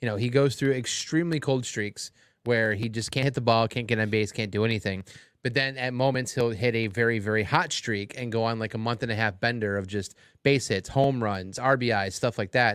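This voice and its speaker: A man with an American accent, a normal speaking voice, medium pitch, fairly even intonation and a fairly quick pace, on a very clean recording with a silent background. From Cleveland, Ohio. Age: 40s. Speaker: sports podcast co-host. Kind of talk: casual chat. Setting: studio.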